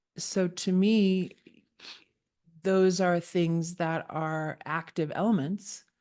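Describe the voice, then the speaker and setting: Against a quiet background, a woman with a fairly low pitch and a dark, mellow tone speaks very slowly in a flat monotone. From immigrant to the US as a child. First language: not English. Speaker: channel founder and host. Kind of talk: casual conversation. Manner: halting, many fillers.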